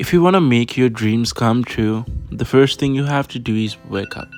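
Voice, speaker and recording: A man with a Nepali accent, at medium pitch and a moderate pace, with music in the background. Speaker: international student. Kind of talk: day-in-my-life vlog narration. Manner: casual.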